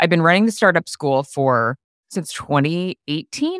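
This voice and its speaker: A woman with an American accent and ordinary pitch variation. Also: dry, close sound with no echo. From upstate New York. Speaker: coworking consultant and educator. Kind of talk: casual interview chat.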